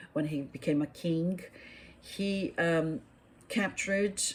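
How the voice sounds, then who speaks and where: A woman's fairly low, somewhat breathy voice with a Portuguese accent, a very slow pace, and ordinary pitch variation. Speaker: YouTuber. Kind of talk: casual monologue. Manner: halting, many fillers.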